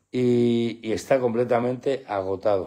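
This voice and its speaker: A man's medium-pitched voice with a dark, mellow tone over a quiet background. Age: 50s. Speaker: pet channel host. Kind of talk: live stream chat. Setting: at home with dogs at night. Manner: animated.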